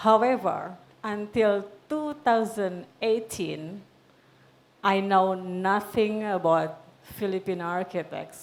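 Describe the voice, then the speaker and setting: A woman with a non-native accent at a very slow pace. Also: medium pitch for a woman, ordinary pitch variation. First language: not English. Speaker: panel moderator, magazine founder. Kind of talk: panel talk. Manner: halting.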